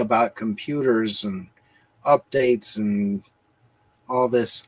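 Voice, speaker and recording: An unremarkable speaking voice from a man at medium pitch, ordinary pitch variation and a dry, close sound with no echo. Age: 60s. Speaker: livestream guest. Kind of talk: casual chat. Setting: livestream.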